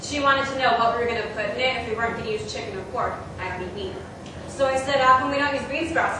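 In a room with strong echo, a woman speaks at a very fast pace with ordinary pitch variation. Noticeable background noise is present. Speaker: storyteller on stage. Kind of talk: spoken word storytelling performance. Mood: wry, reflective. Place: stage.

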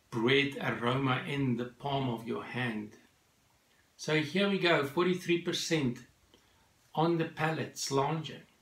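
Amid audible room echo, a man speaks at a very slow pace with ordinary pitch variation and long, frequent pauses. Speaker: whisky reviewer. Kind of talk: product review. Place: home room.

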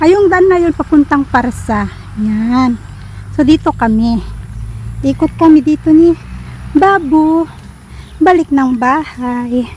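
A woman's high-pitched voice at a very slow pace, with long, frequent pauses, dry with no echo, over light background noise. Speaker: vlogger. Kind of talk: casual vlog chat. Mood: cheerful. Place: street. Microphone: phone near.

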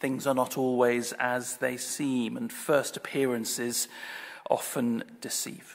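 Speaking very slowly, a man keeps a monotone, flat intonation. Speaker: Anglican priest giving a sermon. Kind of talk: church sermon delivered to a congregation. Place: church. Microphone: podium.

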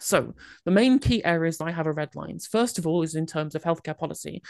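Over a quiet background, a woman talks at a very fast pace with a fairly low pitch and a dry sound with no echo. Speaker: political livestreamer. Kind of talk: panel debate. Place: home room. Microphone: studio mic.

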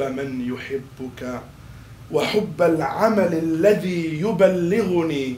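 A man speaks with ordinary pitch variation. Audible room echo and light background noise are present. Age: 40s. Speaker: imam. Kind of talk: sermon. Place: hall.

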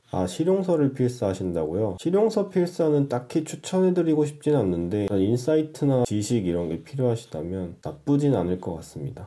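A man with a dark, mellow tone talks at a moderate pace and medium pitch, his pitch swinging very widely. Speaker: handwriting instructor and stationery shop owner. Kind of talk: unscripted ASMR narration over writing sounds. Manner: casual, rambling.

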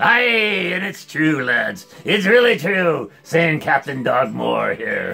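A man puts on a cartoonish character voice pitched high. He talks at a very slow pace. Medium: puppet.

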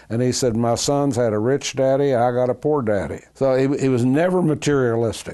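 At a moderate pace, a man speaks in a dark, mellow tone. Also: quiet background. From Kentucky. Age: 80s+. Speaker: oral history interviewee. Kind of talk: oral history interview answer. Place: home room.

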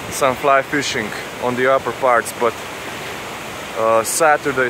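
Dry sound with no echo over noticeable background noise. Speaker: fly fishing guide or angler. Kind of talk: casual vlog commentary. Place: waterside. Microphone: phone near.

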